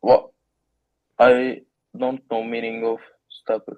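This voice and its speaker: At a very slow pace, a man speaks at a medium pitch with monotone, flat intonation. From Turkey. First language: Turkish. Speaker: IELTS test taker. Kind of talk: speaking exam. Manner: halting, many fillers.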